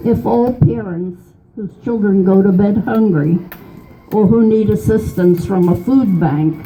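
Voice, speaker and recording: Music plays behind a woman speaking at a medium pitch. She goes at a fairly slow pace with lively intonation. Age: 80s+. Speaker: political activist. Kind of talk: reading own political poem.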